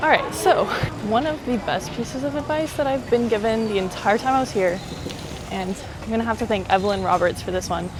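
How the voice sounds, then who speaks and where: A woman's fairly high, lively voice in an American accent at a fairly quick pace, with music in the background and audible room echo. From US, Miami. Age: 20s. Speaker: travel vlogger. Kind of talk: casual vlog monologue. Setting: outdoors, riding a bike in a park. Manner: casual, lots of fillers.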